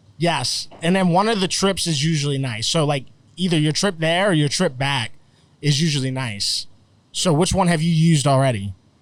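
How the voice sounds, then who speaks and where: A man with an American accent speaks in a plain, everyday voice, fairly high in pitch with ordinary variation. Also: moderate pace. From Florida. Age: 30s. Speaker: comedian and internet personality. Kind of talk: casual chat. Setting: outdoors.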